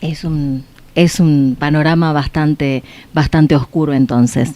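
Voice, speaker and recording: Her tone is dark and mellow, and the pitch very deep and low for a woman. She talks at a fairly slow pace. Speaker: radio host. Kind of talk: radio interview. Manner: hesitant, many fillers.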